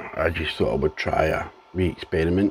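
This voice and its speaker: A man with a Scottish accent speaks at a fairly slow pace in a very deep, low voice with fairly even intonation, over noticeable background noise. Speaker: home gardener vlogger. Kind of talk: casual video diary. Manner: halting, with ums.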